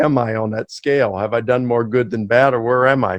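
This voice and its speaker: The voice has a Mid-Atlantic American accent and a fairly quick pace, with fairly even intonation. The sound is dry and close, with no echo. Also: man. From US, Baltimore, Maryland. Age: 50s. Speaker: professor. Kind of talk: interview.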